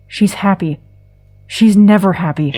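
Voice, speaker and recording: A woman puts on a character voice. It sits at a medium pitch and moves at a moderate pace. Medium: audio drama. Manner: terse, flat.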